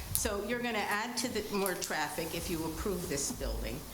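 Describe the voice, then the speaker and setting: A woman with an American accent at a medium pitch, with audible room echo and noticeable background noise. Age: 80s+. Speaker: resident speaking at public hearing. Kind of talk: public comment at town meeting. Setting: town hall meeting at microphone.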